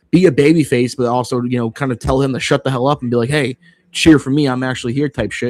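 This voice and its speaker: The recording sounds dry and close with no echo as a man speaks at medium pitch with ordinary pitch variation. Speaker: wrestling livestream host. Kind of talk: livestream watchalong commentary. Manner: fast; animated.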